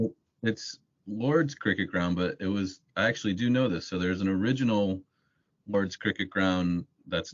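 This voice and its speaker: Using a very deep, low pitch, a man with an American accent speaks at a moderate pace with ordinary pitch variation. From United States. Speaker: building society association policy staff. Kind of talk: casual podcast interview. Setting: podcast recording. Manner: halting, repeats words.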